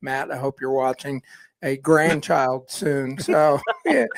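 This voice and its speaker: Male voice, an unremarkable speaking voice, at a fairly slow pace with fairly even intonation, recorded very cleanly with a silent background and a dry, close sound with no echo. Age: 60s. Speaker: outgoing podcast co-host and radio host. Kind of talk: casual chat.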